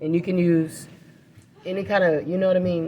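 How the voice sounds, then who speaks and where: Soft-spoken, a woman talks in a fairly low pitch with a dark, mellow tone. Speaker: nail technician. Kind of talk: live demonstration. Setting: live demo at a nail school.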